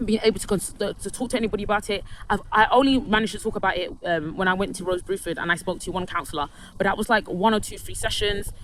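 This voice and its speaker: A woman with a London accent at medium pitch, very fast pace, ordinary pitch variation, noticeable background noise. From London, England. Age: 30s. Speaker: vlogger telling personal story. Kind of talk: personal testimony monologue. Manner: halting, many false starts and repetitions.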